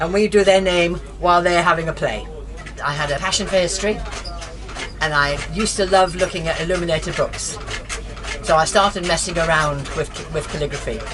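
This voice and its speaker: With an English accent, a woman talks at a fairly quick pace, taking long, frequent pauses. Her voice carries audible room echo over noticeable background noise. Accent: English-sounding. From Scotland, Aberdeen. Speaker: calligrapher and living-history reenactor. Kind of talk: casual interview talk. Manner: animated.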